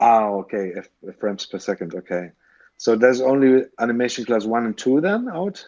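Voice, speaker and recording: With a German accent, a man speaks at a medium pitch and moderate pace, his intonation lively. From Germany. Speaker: stop motion animator. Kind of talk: podcast interview. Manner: halting.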